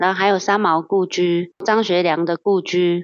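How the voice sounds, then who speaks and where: A woman with a plain, everyday voice and medium pitch speaks at a fairly slow pace. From Taiwan, Hsinchu mountains (Atayal). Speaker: campground owner. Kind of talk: interview.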